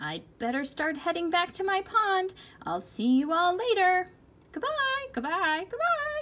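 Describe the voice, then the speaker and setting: Using a put-on character voice, a woman squeaks at an extremely high pitch, swinging very widely in pitch at a fairly slow pace. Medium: read story. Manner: excitable.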